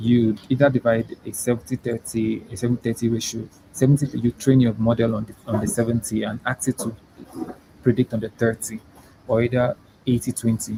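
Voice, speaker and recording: Speaking at a fairly quick pace, a man has a somewhat breathy, medium-pitched voice with monotone, flat intonation and big swings in loudness. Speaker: machine learning researcher and pharmacy student. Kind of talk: interview, explaining technical concepts. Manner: halting, many fillers.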